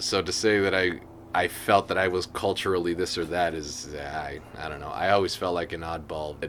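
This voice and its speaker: A man's very deep, low voice at a moderate pace, over noticeable background noise. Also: fairly even intonation. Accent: American. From Las Vegas, US. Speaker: interviewee. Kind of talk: casual chat. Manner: halting.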